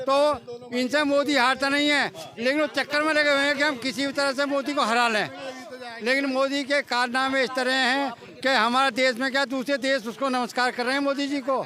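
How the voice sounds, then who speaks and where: A man projects a raised voice at an extremely high pitch with monotone, flat intonation and very even loudness. Noticeable background noise is present. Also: moderate pace. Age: 70s. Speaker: member of the public interviewed on the street. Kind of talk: vox pop interview.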